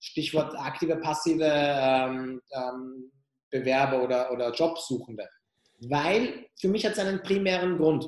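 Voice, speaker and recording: At a fairly slow pace, a man talks with a fairly high pitch and ordinary pitch variation. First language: not German (speaking German). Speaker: HR tech company founder. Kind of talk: interview. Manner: repetitive fillers.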